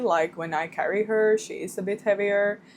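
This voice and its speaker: Ordinary pitch variation in a Swedish accent, on a very clean recording with a silent background. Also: woman. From Finland, Swedish-speaking minority. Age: 20s. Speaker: vlogger, new mother. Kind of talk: casual vlog chat. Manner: halting, self-correcting.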